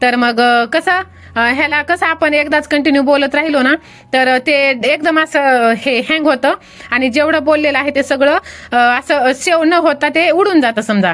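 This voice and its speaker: A woman speaks at a high pitch with ordinary pitch variation and very even loudness. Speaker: YouTuber making faceless videos. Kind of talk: tutorial.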